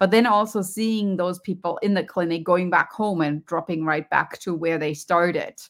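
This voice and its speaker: A woman speaks with a German accent. Her pitch is medium. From Germany. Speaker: professor and wellness coach. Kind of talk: interview. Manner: animated.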